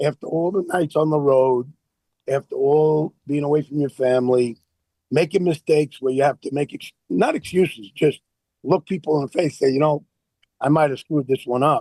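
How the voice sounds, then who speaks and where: A man talks at a moderate pace in a fairly high voice with a dark, mellow tone. His pitch varies in an ordinary way, and the sound is dry and close with no echo. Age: 60s. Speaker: baseball scout. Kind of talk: interview.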